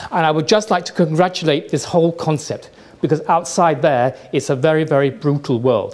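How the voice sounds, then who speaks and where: With a British accent, a man of fairly high pitch speaks at a fairly quick pace with ordinary pitch variation, and noticeable background noise is present. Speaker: trend forecaster. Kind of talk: lecture. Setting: stage with audience. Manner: fast.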